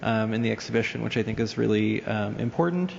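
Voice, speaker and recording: A man at medium pitch with an American accent, very fast pace, noticeable background noise. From US, New York. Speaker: art museum curator. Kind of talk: panel presentation with slides. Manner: hesitant, many fillers.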